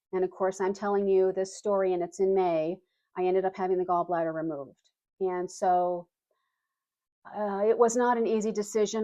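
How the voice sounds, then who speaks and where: In a plain, everyday voice, a woman of medium pitch speaks at a fairly quick pace with fairly even intonation. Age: 60s. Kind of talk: casual talk to camera.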